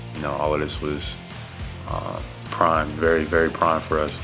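Over clear background music, a man with a very deep, low voice talks at a moderate pace with fairly even intonation. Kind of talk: interview answer. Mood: relaxed, reflective. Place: meeting room. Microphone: podium.

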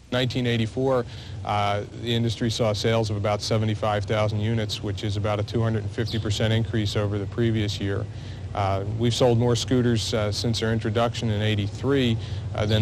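At a fairly quick pace, a man speaks in a monotone, flat way at a fairly low pitch. The sound is dry with no echo, and there is noticeable background noise. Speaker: industry spokesman. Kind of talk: interview answer. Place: street.

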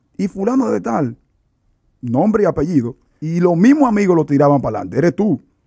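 Over a quiet background, a man with a fairly high pitch and a dark, mellow, somewhat breathy tone speaks at a fairly quick pace with very wide pitch swings. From Dominican Republic (San Cristóbal); Dominican Republic. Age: 30s. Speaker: evangelist preacher. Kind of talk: religious testimony interview. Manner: animated. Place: studio. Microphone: studio mic.

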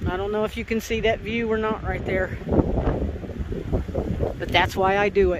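The pace is moderate over loud background noise. The sound is dry with no echo. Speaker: hiking vlogger. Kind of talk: casual vlog chat. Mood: amused, self-mocking. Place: open country. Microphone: phone near.

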